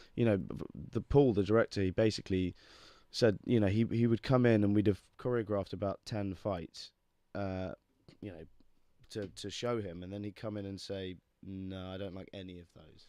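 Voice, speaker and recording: A man's fairly low, dark and mellow voice with a West Midlands accent, fairly even intonation, big swings in loudness and a moderate pace, in a dry, close sound with no echo. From England, Worcestershire. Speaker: actor. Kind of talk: casual interview chat.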